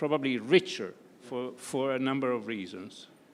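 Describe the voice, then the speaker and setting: A man talks at a moderate pace with a Piedmontese accent. His pitch is medium. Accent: Piedmontese Italian. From Italy, Turin (Piedmont). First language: Italian. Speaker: conference panelist, academic. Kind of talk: panel discussion. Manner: hesitant, many fillers.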